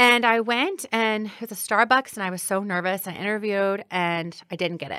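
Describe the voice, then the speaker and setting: A woman with an unremarkable speaking voice talks at a moderate pace with hardly any pauses. Her pitch is medium, with ordinary variation. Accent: American. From Granite City, Illinois. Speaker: city clerk. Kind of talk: interview.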